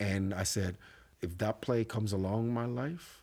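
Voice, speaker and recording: On a very clean recording with a silent background, a man with a Puerto Rican accent talks at a moderate pace with ordinary pitch variation. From Puerto Rico. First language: Spanish. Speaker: theater actor and company co-founder. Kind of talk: casual interview chat.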